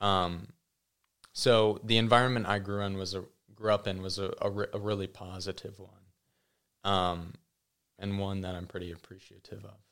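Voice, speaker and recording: On a very clean recording with a silent background, a man with a fairly low pitch speaks in a monotone, flat way, pausing long and often as his loudness swings widely. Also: moderate pace. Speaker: podcast guest. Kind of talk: casual chat.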